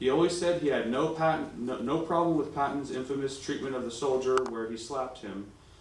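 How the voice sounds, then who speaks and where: A man at a fairly quick pace, ordinary pitch variation, noticeable background noise. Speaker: grandson of a war veteran. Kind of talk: public speech presentation.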